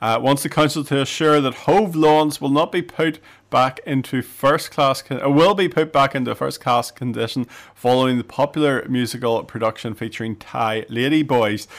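A normal speaking voice from a man, medium in pitch and moderate in pace, with ordinary pitch variation and a very clean recording over a silent background. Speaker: radio host. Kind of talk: casual radio chat. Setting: radio studio.

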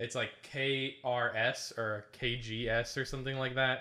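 His tone is bright and sharp, and this man keeps a medium pitch with monotone, flat intonation. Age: 20s. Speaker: gaming podcast host. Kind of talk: casual chat.

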